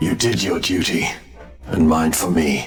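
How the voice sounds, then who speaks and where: Clear music plays in the background as a man speaks at a moderate pace in a put-on character voice. It is raspy and very deep, low in pitch. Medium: machinima. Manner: grave, measured.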